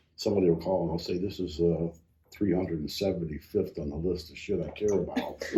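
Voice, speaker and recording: A man talks very fast in a flat monotone at a very deep, low pitch. His tone is dark and mellow, and somewhat breathy. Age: 70s. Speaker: county commissioner. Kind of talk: casual interview.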